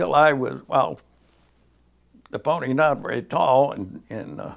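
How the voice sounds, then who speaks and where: With a US Midwestern accent, the speaker goes at a fairly slow pace, with lively intonation and big swings in loudness. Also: man, medium pitch for a man. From northern Indiana, US Midwest. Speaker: oral history interviewee. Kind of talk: oral history interview. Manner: halting, with many fillers.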